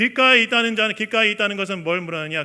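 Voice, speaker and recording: Raising and projecting his high voice, a man talks at a very fast pace in a bright, sharp tone with ordinary pitch variation. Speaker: pastor. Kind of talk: sermon.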